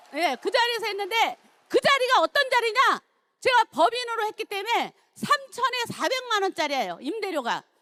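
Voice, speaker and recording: The speaker uses a raised, projected voice with lively intonation at a moderate pace. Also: woman, extremely high pitch for a woman. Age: 60s. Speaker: network marketing distributor. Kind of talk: testimony.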